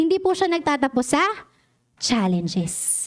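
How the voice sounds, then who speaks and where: On a very clean recording with a silent background, a woman speaks in an animated tone. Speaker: lay preacher. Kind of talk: sermon. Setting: church with congregation.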